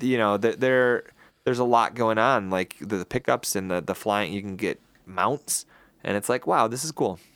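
At a moderate pace, a man speaks at medium pitch with ordinary pitch variation, recorded very cleanly against a silent background with a dry, close sound and no echo. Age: 20s. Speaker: podcast co-host. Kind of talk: casual chat. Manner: animated.

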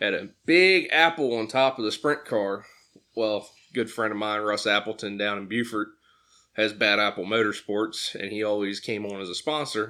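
A man with an American accent and an unremarkable speaking voice talks at a moderate pace with a fairly low pitch and ordinary pitch variation, recorded very cleanly against a silent background. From Pennsylvania. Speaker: sprint car driver and Marine veteran. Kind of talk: casual interview chat. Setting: studio.

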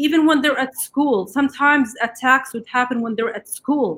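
A woman speaks with an Arabic accent. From Gaza, Palestine. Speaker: writer, mother. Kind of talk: interview.

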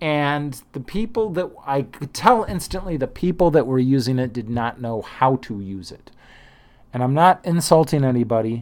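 A man with a normal speaking voice and a fairly high pitch talks at a moderate pace, with lively intonation and big swings in loudness. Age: 50s. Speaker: trading podcast host. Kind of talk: solo monologue. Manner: casual, with fillers.

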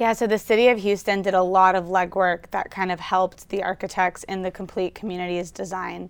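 A woman with an American accent, medium in pitch, on a very clean recording with a silent background. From Louisiana, US South (Baton Rouge). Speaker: architect. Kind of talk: interview.

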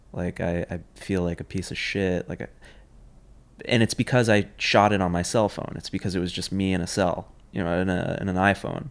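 Intonation fairly even, a man with a New York accent speaks in a very deep, low pitch. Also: fairly quick pace. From New York City, Manhattan. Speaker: filmmaker. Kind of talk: casual chat. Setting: in person.

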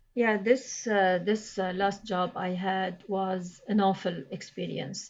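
A woman's medium-pitched voice moves very slowly, with fairly even intonation. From Lebanon. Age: 60s. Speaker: immigrant worker. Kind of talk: interview. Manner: halting.

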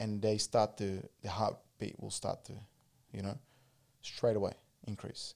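A man with an Australian accent and a fairly low pitch, at a fairly slow pace with long, frequent pauses, big swings in loudness and monotone, flat intonation. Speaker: martial arts coach. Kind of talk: casual chat. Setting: studio.

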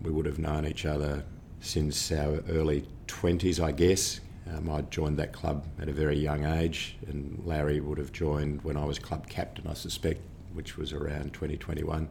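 A man with an Australian accent speaks at a very deep, low pitch in a flat monotone, somewhat breathy and at a moderate pace. Audible room echo surrounds his voice. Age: 60s. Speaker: orthopaedic surgeon. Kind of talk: interview.

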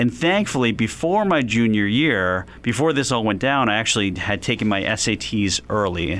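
Using a normal speaking voice, a man with an American accent and a medium pitch speaks at a moderate pace with lively intonation. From US Northeast, West Philadelphia. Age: 40s. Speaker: business professor and author. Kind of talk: interview.

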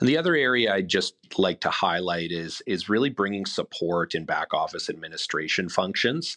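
A man with a bright, sharp tone and a fairly low pitch speaks with hardly any pauses. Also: lively intonation, moderate pace, dry, close sound with no echo. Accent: Manitoban. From Canada, Winnipeg. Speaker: corporate development executive. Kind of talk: interview. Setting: studio.

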